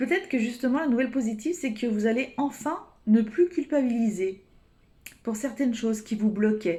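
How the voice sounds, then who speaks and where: This woman's voice has a fairly high pitch and a dark, mellow tone. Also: lively intonation. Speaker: tarot card reader. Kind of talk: weekly energy reading. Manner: fast; hesitant, many fillers.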